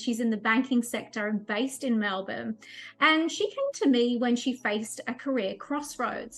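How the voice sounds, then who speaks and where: A woman's high-pitched voice at a moderate pace, with music in the background. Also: ordinary pitch variation. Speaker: life and career coach. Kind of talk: casual talk to camera. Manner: upbeat.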